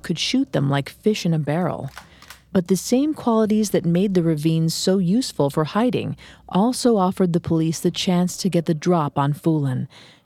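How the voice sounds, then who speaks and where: A woman speaks in a dramatic tone, dark and mellow, with fairly low pitch and lively intonation. Her loudness stays very even at a moderate pace. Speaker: true crime narrator. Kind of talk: scripted true-crime narration. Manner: grave, measured, dramatic storytelling delivery.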